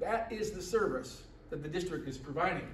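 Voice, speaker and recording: This man's voice sits high in pitch. Audible room echo and noticeable background noise come through. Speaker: presenter at a public meeting. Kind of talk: presentation to a meeting. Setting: meeting hall with audience. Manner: fast; halting, repeated words.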